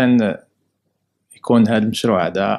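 The voice belongs to a man. It sits fairly low in pitch. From Morocco, Casablanca. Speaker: immigrant rights association president. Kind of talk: interview testimony. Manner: halting. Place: office. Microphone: handheld.

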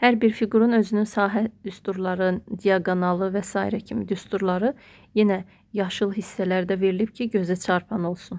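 With an unremarkable speaking voice, a woman talks at medium pitch and a moderate pace, her intonation fairly even, on a very clean recording with a silent background. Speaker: math teacher and textbook author. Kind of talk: book walkthrough tutorial.

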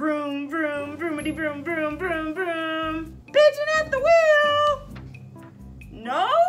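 A cartoonish character voice speaks at a very slow pace over loud music in the background. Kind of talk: children's puppet show. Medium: puppet show. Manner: wheedling, whiny, growing frantic.

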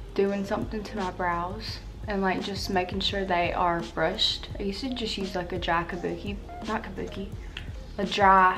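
The speaker talks at a moderate pace. Clear music sounds in the background. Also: woman. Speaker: beauty vlogger. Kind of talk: casual vlog chat. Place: home room. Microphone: camera far.

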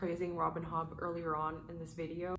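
Against noticeable background noise, a soft-spoken woman with a very deep, low pitch speaks at a moderate pace. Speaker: booktuber. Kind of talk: casual talk to camera. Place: home room.

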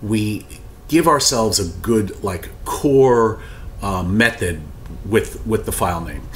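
There is light background noise as a man speaks at a fairly slow pace. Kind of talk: tutorial. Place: office.

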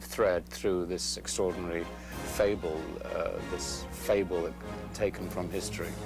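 Noticeable background noise sits behind a man talking at a fairly slow pace, the sound dry with no echo. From England. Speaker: actor. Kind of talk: interview answer. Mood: calm, measured. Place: studio. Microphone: lapel.

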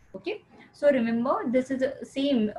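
A woman with an Indian accent and ordinary pitch variation. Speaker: teacher. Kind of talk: lecture. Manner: halting.

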